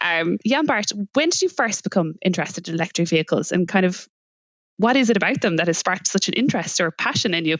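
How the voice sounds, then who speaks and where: Speaking very fast in a Limerick accent, a woman at medium pitch has lively intonation and very even loudness. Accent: Irish, Limerick. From Ireland, Limerick. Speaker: podcast host. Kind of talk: podcast interview.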